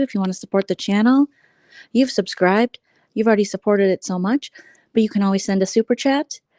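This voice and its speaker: A soft-spoken woman has a medium pitch, a dark, mellow tone and ordinary pitch variation. The very clean recording has a silent background and a dry, close sound with no echo. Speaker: vlogger. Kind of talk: casual livestream chat. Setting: live stream at home. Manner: quiet, soft-spoken.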